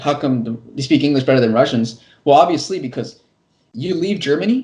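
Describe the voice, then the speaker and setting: Talking at a very fast pace, a man with an American accent has a fairly high pitch, ordinary pitch variation, a dark, mellow tone and a somewhat breathy quality. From California, US. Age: 20s. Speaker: construction worker and English teacher on YouTube. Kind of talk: casual interview. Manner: fast with frequent repetitions and restarts.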